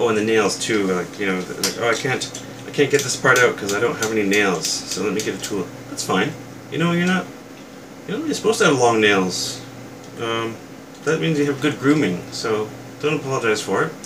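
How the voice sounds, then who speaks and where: A man at medium pitch with lively intonation and a fairly quick pace, broken by long, frequent pauses, amid audible room echo and noticeable background noise. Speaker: toy reviewer youtuber. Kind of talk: casual rant to camera. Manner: soft-spoken, quiet; hesitant, many fillers.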